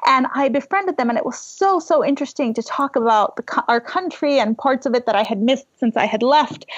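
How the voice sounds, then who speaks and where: A woman speaks at a fairly quick pace with hardly any pauses. Her pitch is high and her intonation lively. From Iran (born Tehran, raised Isfahan), emigrated as a child. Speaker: novelist and memoirist. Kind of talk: casual interview chat.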